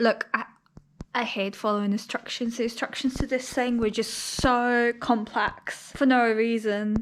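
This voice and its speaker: This woman speaks at a fairly slow pace in a fairly high pitch, her intonation monotone and flat, with noticeable background noise behind her. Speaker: lifestyle vlogger. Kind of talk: casual vlog talk to camera.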